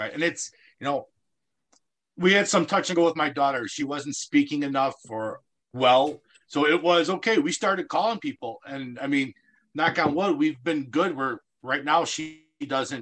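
A man with an American accent talks in an unremarkable speaking voice at a moderate pace. His pitch is fairly high, with ordinary pitch variation. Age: 40s. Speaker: special recreation coach. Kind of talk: radio interview.

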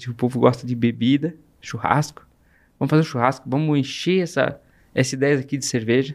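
The speech comes at a very fast pace with fairly even intonation, on a very clean recording with a silent background. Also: man. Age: 40s. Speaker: entrepreneur. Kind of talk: interview storytelling.

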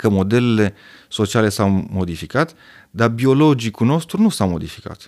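A man with an ordinary speaking voice talks at a moderate pace and medium pitch, his intonation lively and his loudness very even, on a very clean recording with a silent background. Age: 40s. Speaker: urologist. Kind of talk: casual chat.

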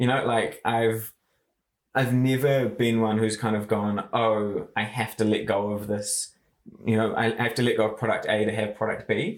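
This man has a medium-pitched voice with a New Zealand accent. He talks at a moderate pace with flat, monotone intonation. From New Zealand, Far North. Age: 20s. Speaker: marketing agency founder. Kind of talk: interview.

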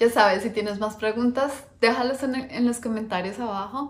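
The woman's voice is somewhat breathy and pitched fairly high. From Colombia, Bogotá. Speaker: finance educator and investment manager. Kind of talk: personal introduction video to camera. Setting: recorded on camera, husband behind the camera.

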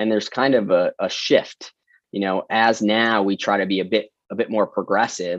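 Against a quiet background, a man with an American accent speaks at a fairly low pitch and moderate pace, with fairly even intonation and a dry, close sound with no echo. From US Midwest, Metro Detroit. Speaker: veterinarian. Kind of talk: interview. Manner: many fillers and repeated words.

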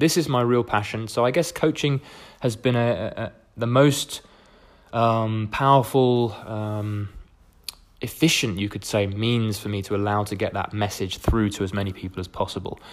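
Speaking with a southern English accent, a man uses a medium-pitched voice and ordinary pitch variation. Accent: English (southern, educated). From England. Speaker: podcast host, coach. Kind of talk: casual solo monologue. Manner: fast; rambling, hesitant fillers.

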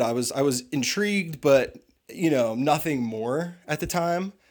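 In a plain, everyday voice with an American accent, a man talks at a moderate pace and a fairly high pitch, his intonation lively, on a very clean recording with a silent background. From US Northeast, suburban Philadelphia. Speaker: tintype photographer. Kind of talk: casual chat.

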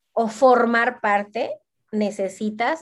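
The background is quiet. A woman talks in a high pitch. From Mexico, Veracruz. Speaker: fashion blogger. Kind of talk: casual chat.

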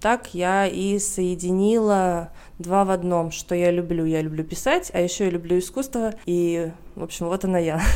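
A woman speaks at a moderate pace with fairly even intonation. Her voice is fairly low and has a dark, mellow tone. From Russia. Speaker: journalist and art historian. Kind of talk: casual chat.

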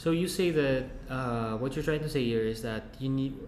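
Through audible room echo, a man speaks at a moderate pace with a medium pitch and fairly even intonation. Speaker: podcast host. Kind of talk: interview.

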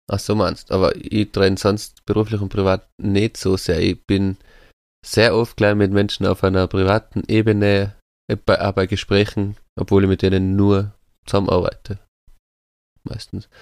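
In a very clean recording with a silent background and a dry, close sound with no echo, a man with a fairly low pitch speaks in a monotone, flat way at a moderate pace with long, frequent pauses. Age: 30s. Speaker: podcast co-host. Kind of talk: casual chat.

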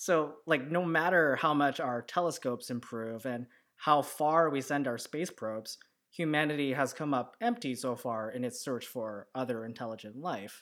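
On a very clean recording with a silent background, a man with an ordinary speaking voice and fairly high pitch speaks at a moderate pace with ordinary pitch variation. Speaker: podcast host. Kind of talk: casual chat. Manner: relaxed, casual, jokey.

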